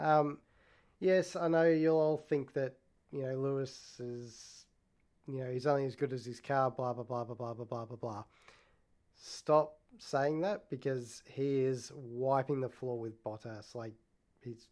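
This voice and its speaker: The speaker has an Australian accent and ordinary pitch variation. The pace is fairly slow. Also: man, medium pitch for a man. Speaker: podcast host. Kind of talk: casual solo talk.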